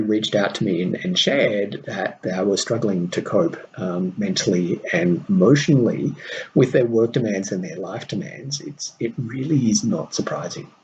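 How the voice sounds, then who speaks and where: A man speaks with an Australian accent at a medium pitch. His voice swings very widely in pitch. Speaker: podcast host and mentor to diplomats. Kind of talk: solo podcast monologue.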